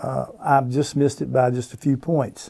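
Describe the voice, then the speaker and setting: A man with a Virginia accent, medium-pitched, at a moderate pace, in a flat monotone. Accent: Virginia Southern US. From Roanoke, Virginia, US. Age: 60s. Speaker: veteran pro bass angler. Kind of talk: casual interview chat.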